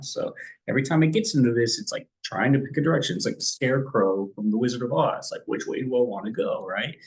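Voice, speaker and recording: A man's voice comes across as somewhat breathy. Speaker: stock trading educator. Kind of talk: tutorial. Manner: casual, conversational.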